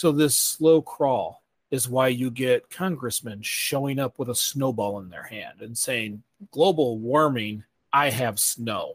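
In an ordinary speaking voice, a man talks at a medium pitch with ordinary pitch variation. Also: fairly slow pace, big swings in loudness. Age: 40s. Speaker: sustainability podcast host. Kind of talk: Q&A town hall answers; scripted podcast intro and outro.

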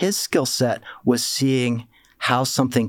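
A man speaks at a medium pitch with an American accent. He has an ordinary speaking voice. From Pennsylvania, Lancaster County. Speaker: entrepreneur and philanthropist. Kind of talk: interview.

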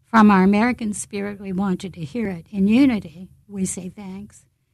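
Against a quiet background, a woman speaks fairly slowly in a somewhat breathy, medium-pitched voice with fairly even intonation. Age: 70s. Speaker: founder of Rosie movement. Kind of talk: interview.

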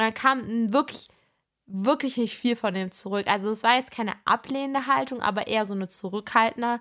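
On a very clean recording with a silent background, a woman with a normal speaking voice talks at a fairly quick pace, her fairly high pitch showing ordinary variation. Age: 20s. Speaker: podcast host and social media creator. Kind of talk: casual solo podcast chat.

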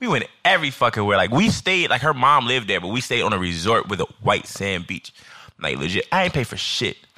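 Very wide pitch swings mark this man's bright, sharp tone, which carries vocal fry. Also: medium pitch for a man. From Chicago, South Side. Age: 30s. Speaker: alcohol writer. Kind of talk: casual chat.

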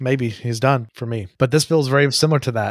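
On a very clean recording with a silent background and a dry, close sound with no echo, a man with an unremarkable speaking voice talks fairly quickly at medium pitch with ordinary pitch variation. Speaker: podcast host. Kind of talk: casual chat.

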